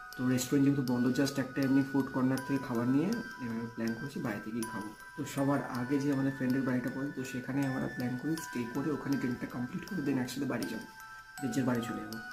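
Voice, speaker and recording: Backed by music in the background, a man talks at a medium pitch with ordinary pitch variation. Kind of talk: podcast talk, personal ghost story. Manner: casual, conversational.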